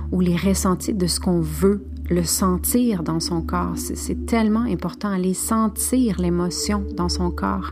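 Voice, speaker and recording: Very slow speech with a Spanish accent against noticeable background noise. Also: woman. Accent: Spanish-tinged French. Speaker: spiritual podcast host. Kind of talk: spiritual monologue.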